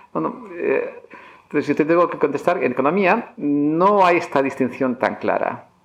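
Noticeable background noise is present. The delivery has lively intonation and a moderate pace. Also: man, high pitch for a man. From Basque Country, Spain (Barakaldo). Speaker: economics professor. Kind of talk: interview. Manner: halting, many fillers and repetitions.

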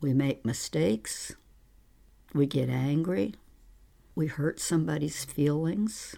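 A woman with an American accent speaks at a very slow pace, her pitch very deep and low. Her tone is dark and mellow, on a very clean recording with a silent background. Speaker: podcast host and therapist. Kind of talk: solo podcast monologue. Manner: trying to slow down.

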